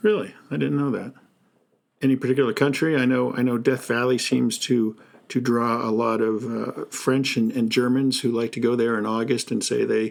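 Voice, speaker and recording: This man has an unremarkable speaking voice, pitched in the middle range, with fairly even intonation and a moderate pace. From New Jersey. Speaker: podcast host. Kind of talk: interview.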